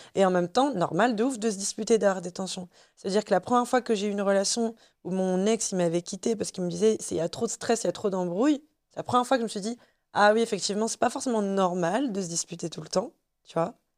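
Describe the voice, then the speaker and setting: A woman talks at a very fast pace with a medium pitch, ordinary pitch variation and big swings in loudness. The sound is dry and close with no echo, on a very clean recording with a silent background. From Tunisia. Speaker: podcast guest. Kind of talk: casual chat.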